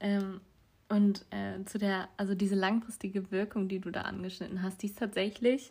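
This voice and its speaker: A woman speaks at a moderate pace with a medium pitch, somewhat breathy and in a monotone, flat intonation. The recording is very clean, with a silent background. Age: young. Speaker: podcast co-host. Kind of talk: casual chat.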